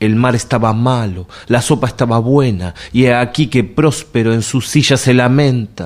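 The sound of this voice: An unforced reading voice is what the clip offers.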